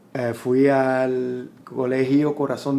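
Talking at a very slow pace, a man uses a medium pitch in a Puerto Rican accent. Room echo is audible. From Puerto Rico. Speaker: musician. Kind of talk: interview. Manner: halting, frequent repetitions.

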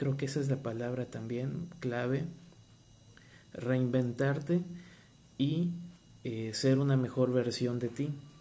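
The voice has a dark, mellow tone and fairly even intonation, moving at a very slow pace with long, frequent pauses. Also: man, medium pitch for a man. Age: 30s. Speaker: marine biologist and podcaster. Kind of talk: personal testimony and motivational talk. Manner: hesitant, with fillers and repetitions.

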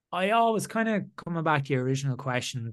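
A man talks with an Irish accent. The background is quiet. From Ireland. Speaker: former rugby player turned entrepreneur. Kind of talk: interview.

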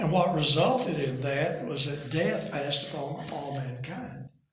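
Audible room echo around a man at a moderate pace, with ordinary pitch variation. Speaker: preacher and author. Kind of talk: bible teaching. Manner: reading from notes.

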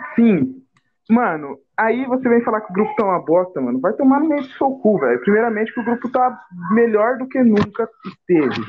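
Intonation rises and falls in a lively way. The delivery keeps a moderate pace. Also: man, high pitch for a man. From Brazil, Cuiabá (Mato Grosso). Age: young. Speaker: podcast co-host and editor. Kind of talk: casual chat.

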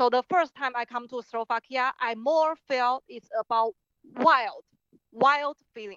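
A woman with a Chinese accent speaks at a fairly slow pace in a high pitch, with ordinary pitch variation and big swings in loudness. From Taiwan. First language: Mandarin Chinese. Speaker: artist and filmmaker. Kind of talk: interview.

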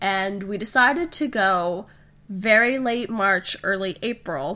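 Nasal and slow, the voice has a bright, sharp tone and lively intonation. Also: woman, medium pitch for a woman.

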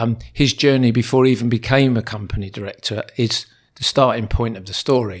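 Speaking fairly quickly, a man uses a plain, everyday voice at medium pitch with fairly even intonation. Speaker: educator acting as interviewer. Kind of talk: casual interview conversation.

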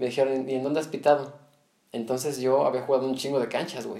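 Fairly quick and medium in pitch, a man talks in a plain, everyday voice. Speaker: podcast host. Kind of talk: casual chat.

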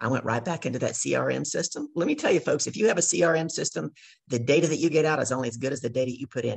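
Somewhat breathy and with lively intonation, a woman speaks at a very fast pace in a Southern US accent. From US South, Louisiana. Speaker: business coach. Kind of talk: casual chat. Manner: animated.

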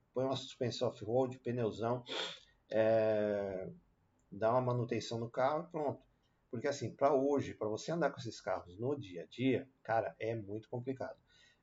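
A somewhat breathy man at a medium pitch, with ordinary pitch variation and a moderate pace. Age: 40s. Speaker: car youtuber. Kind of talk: casual video commentary. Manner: casual with many fillers.

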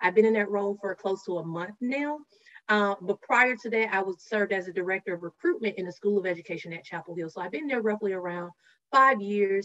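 A woman talks at a very fast pace in a Southern US accent. Her medium-pitched voice shows ordinary pitch variation. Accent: Southern US (Georgia). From rural Georgia, US South. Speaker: diversity and inclusion professional. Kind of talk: interview conversation.

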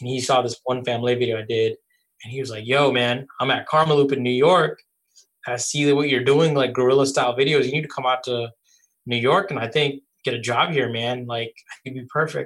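This man has an unremarkable speaking voice with an American accent, medium pitch and a fairly quick pace. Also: fairly even intonation. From Bangladesh (Dhaka), then Virginia Beach, US. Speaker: music video director. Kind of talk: casual interview. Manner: casual, relaxed.

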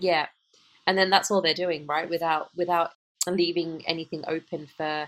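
A woman with an English accent speaks at a fairly low pitch with monotone, flat intonation. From United Kingdom. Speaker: podcast co-host, emotional intelligence coach. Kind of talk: casual chat. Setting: call.

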